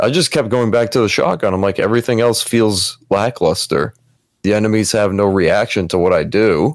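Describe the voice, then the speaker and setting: In a very clean recording with a silent background, a man speaks in a plain, everyday voice at medium pitch. His pace is moderate, his loudness very even and his pitch variation ordinary. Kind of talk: casual chat about video games.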